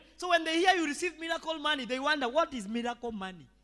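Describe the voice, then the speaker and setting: A man's raised, projected voice, bright and sharp in tone, animated, with ordinary pitch variation. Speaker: pastor. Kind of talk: sermon. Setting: church.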